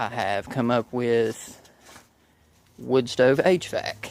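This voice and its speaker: A man at medium pitch with a Southern US accent. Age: 30s. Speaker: DIY video maker. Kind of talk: casual vlog. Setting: outdoors. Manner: stumbles over words.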